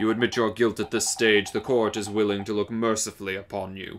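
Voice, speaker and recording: A put-on character voice at a very fast pace, with monotone, flat intonation. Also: man, fairly low pitch for a man. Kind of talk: pompous dramatic reading. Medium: game stream. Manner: formal, authoritative.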